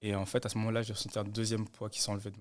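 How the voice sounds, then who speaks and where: A man's fairly low voice at a very fast pace, in a monotone, flat intonation. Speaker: nursing student. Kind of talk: testimony.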